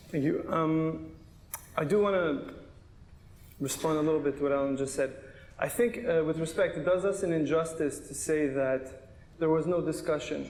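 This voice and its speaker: Audible room echo surrounds a man with a fairly high pitch. He moves at a moderate pace with ordinary pitch variation. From Canada. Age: 30s. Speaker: attorney and pro-Israel activist. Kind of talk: panel debate. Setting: synagogue stage with audience.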